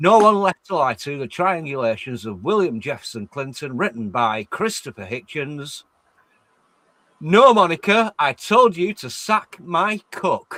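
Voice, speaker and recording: The voice has a bright, sharp tone and an English accent. It goes fairly slowly, with very wide pitch swings and big changes in loudness. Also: man, fairly high pitch for a man, dry, close sound with no echo. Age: 50s. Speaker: stream chat guest. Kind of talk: casual chat.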